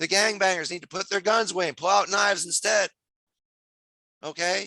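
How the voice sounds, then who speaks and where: A man's high, raised and projected voice with an American accent, animated and bright and sharp in tone, in a dry, close sound with no echo. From New Jersey. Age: 60s. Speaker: community activist. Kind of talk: rally speech.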